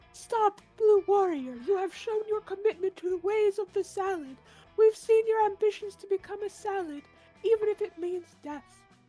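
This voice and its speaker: A put-on character voice squeaks at an extremely high pitch over faint music in the background. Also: moderate pace. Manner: mysterious.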